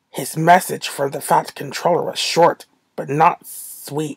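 A woman's animated voice at a fairly slow pace, dry and close with no echo. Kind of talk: audiobook-style story narration. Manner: animated, expressive storyteller; voices characters with changing tone.

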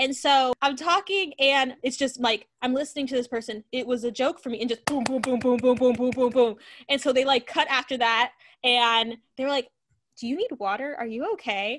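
Over a quiet background, a woman with a high pitch speaks in an animated tone at a moderate pace, with ordinary pitch variation. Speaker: educator and author, show host. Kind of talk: casual chat. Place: home room. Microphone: video call.

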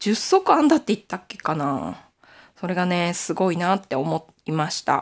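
A woman's fairly low voice, an unremarkable speaking voice, at a moderate pace with lively intonation. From Aomori, Nanbu region, Japan. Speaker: knitting YouTuber. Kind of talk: casual chat.

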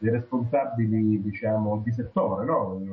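A man's voice with music in the background. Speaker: regional political association secretary. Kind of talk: political discussion. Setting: video call.

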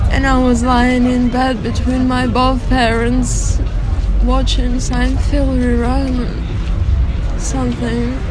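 A woman's very slow speech with long, frequent pauses, dry and echo-free, over noticeable background noise. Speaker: actor auditioning. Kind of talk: dramatic audition monologue, performed as a character. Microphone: phone near.

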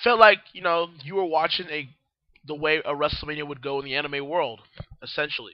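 A man with a fairly high pitch speaks at a moderate pace, his tone clear and smooth and his intonation fairly even.

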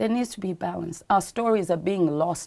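A dark, mellow tone with ordinary pitch variation. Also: woman. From Uganda. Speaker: actress and petroleum engineer; TV interview guest. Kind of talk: TV interview. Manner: animated. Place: studio.

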